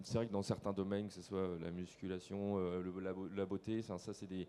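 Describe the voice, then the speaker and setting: At a moderate pace, a man with an unremarkable speaking voice talks at a fairly low pitch. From western France, Nantes area. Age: 20s. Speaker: landscaper and online video creator. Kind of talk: on-stage interview. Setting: stage with audience.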